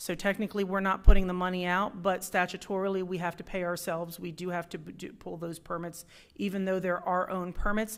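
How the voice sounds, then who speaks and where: A woman's flat, monotone delivery at a fairly quick pace, hardly any pauses, big swings in loudness, on a very clean recording with a silent background. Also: medium pitch for a woman. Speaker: city government staff member presenting budget. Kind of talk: council meeting presentation. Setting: city council meeting. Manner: fast.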